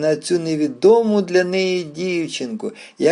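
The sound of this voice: This is an unforced reading voice. Pitch varies in an ordinary way.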